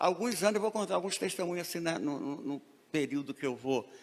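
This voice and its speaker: This man's voice sits high, with lively intonation. He keeps a moderate pace. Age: 60s. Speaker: preacher. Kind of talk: sermon.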